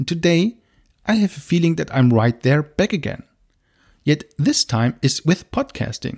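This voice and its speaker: With a non-native accent, a man speaks at a moderate pace in a high pitch with very wide swings and a dark, mellow tone, the sound dry and close with no echo. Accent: non-native English speaker. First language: German. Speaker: podcast host, marketing director. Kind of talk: scripted podcast monologue.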